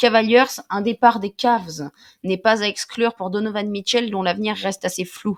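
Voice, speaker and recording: Recorded dry and close with no echo, a woman speaks at a fairly high pitch with fairly even intonation. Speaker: basketball YouTuber. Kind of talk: reading aloud. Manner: fast.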